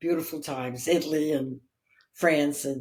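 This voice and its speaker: Dark and mellow in tone, a woman speaks at a very deep, low pitch with fairly even intonation. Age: 80s+. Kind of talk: interview answer.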